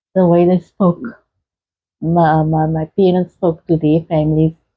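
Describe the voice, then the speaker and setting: A woman speaks in a fairly low pitch. Her intonation stays monotone and flat. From South Africa, Cape Town. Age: 60s. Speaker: interviewee sharing life story. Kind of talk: interview. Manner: soft-spoken; halting.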